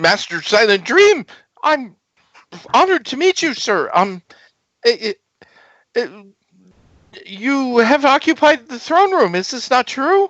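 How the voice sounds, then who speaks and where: A put-on, squeaky character voice talks loudly at a fairly slow pace. Its pitch swings very widely, broken by long, frequent pauses. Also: man, extremely high pitch for a man. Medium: actual play. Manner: stammering, hesitant.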